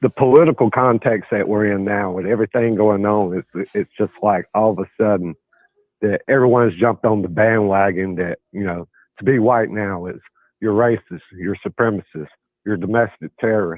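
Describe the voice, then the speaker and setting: With a Southern US accent, a man speaks at a fairly low pitch. His pace is moderate and his pitch variation ordinary. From US South. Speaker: caller. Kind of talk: call-in debate.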